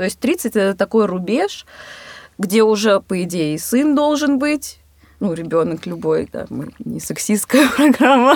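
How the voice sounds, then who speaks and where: At a fairly slow pace, a woman talks at a fairly high pitch with very wide pitch swings. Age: 20s. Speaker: photographer and filmmaker, podcast co-host. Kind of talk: casual chat. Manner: hesitant, many filler sounds.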